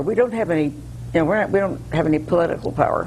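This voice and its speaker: A woman speaks very fast in an American accent, her pitch fairly low and her intonation lively. Noticeable background noise runs underneath. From US Northeast, Connecticut. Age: 80s+. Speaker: local preservation activist. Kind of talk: interview.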